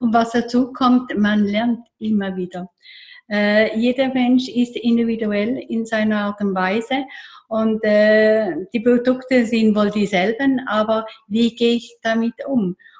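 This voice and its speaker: A woman's fairly high, somewhat breathy voice at a very slow pace, with fairly even intonation. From eastern Switzerland, near Lake Constance. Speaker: therapist. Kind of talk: casual interview.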